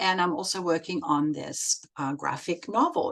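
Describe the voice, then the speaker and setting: Her pitch swings very widely. This woman speaks with a German accent. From Germany. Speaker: set designer and children's book illustrator. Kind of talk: recorded presentation. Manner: hesitant, many fillers.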